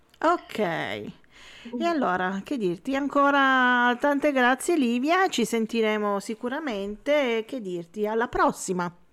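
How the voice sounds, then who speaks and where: Her high-pitched voice has a warm tone as this woman speaks at a fairly slow pace in a very clean recording with a silent background. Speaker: web radio host. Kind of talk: casual radio interview. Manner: warm, laughs often.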